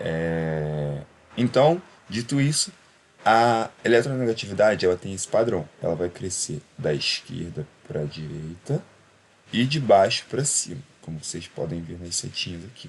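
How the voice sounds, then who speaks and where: This man's voice sits fairly low and moves at a fairly slow pace. His pitch swings very widely, and his loudness rises and falls in big swings. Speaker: chemistry tutor. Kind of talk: lecture. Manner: conversational, with fillers.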